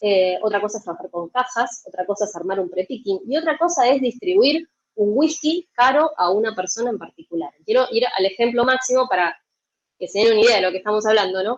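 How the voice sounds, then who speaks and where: In an Argentine accent, a woman with a fairly high pitch speaks at a fairly quick pace with lively intonation. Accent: Argentine Spanish (Rioplatense). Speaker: logistics software consultant. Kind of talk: conference talk. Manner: fast; animated.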